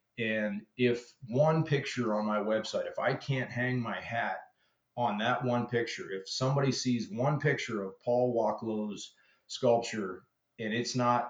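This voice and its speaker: An unremarkable speaking voice from a man, medium in pitch, at a fairly slow pace with fairly even intonation. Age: 50s. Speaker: chainsaw carver. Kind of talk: interview.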